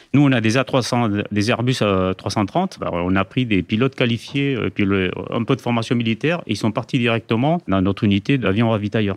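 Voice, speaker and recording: A man talks in a plain, everyday voice at medium pitch and a moderate pace. The sound is dry and close with no echo, the background is quiet, and the loudness stays very even. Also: ordinary pitch variation. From Spain, moved to France at age 7. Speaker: air force general, head of HR. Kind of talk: interview.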